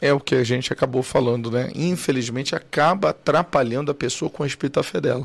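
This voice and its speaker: A man with a plain, everyday voice, medium pitch and ordinary pitch variation. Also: fairly quick pace. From Cuiabá, Mato Grosso, Brazil. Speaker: bishop and podcast host. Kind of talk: casual chat.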